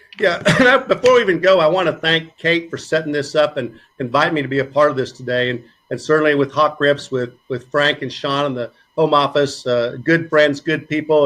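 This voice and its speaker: With a Southern US accent, a man speaks at a fairly high pitch in fairly even intonation. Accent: Southern drawl. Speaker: physical therapy professor. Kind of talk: presentation.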